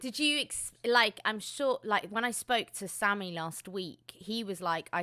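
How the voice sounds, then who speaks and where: A woman with a London accent speaks in a bright, sharp tone, her pitch swinging very widely. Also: very clean recording, silent background. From England, south London. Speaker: DJ and interviewer. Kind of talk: interview. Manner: animated.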